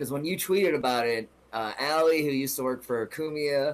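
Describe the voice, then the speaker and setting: Using an ordinary speaking voice, a man speaks at a fairly quick pace with a fairly high pitch and ordinary pitch variation. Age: 30s. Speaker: comedian. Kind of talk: casual chat.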